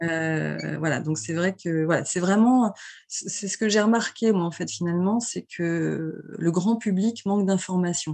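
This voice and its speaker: A woman speaks in a fairly low pitch. Her pace is fairly slow. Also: ordinary pitch variation. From France, Vendée coast. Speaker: travel agency founder. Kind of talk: interview. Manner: hesitant, many fillers.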